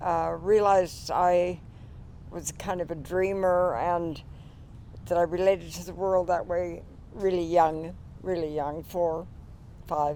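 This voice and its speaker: Her intonation is flat and monotone at a fairly slow pace. The woman leaves long, frequent pauses. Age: 80s+. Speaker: poet. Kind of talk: interview then poetry reading. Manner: halting.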